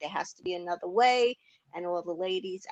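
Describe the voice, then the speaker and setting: With a Long Island accent, a woman speaks with ordinary pitch variation in a dry, close recording with no echo. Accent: Long Island New York. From New York, Long Island. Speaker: knitting tool inventor and business owner. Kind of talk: interview.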